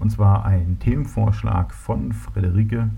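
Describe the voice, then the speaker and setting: Audible room echo and noticeable background noise surround a man who speaks at a very slow pace. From Berlin. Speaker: solo podcaster. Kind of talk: casual monologue. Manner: hesitant, many fillers.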